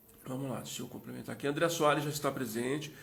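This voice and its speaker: A somewhat breathy male voice carries audible room echo. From Minas Gerais, Brazil. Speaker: live interview host. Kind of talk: live stream chat. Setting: Instagram live.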